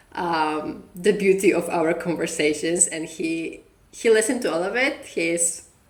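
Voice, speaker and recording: Audible room echo surrounds a woman's fairly low voice. She talks at a fairly slow pace with ordinary pitch variation. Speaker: podcast co-host. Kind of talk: casual chat.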